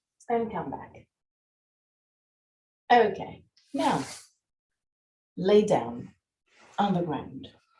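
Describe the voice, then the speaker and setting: A woman's dark, mellow voice at medium pitch with vocal fry, very wide pitch swings, big swings in loudness, a very slow pace and long, frequent pauses. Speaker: yoga teacher. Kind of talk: live yoga class instruction.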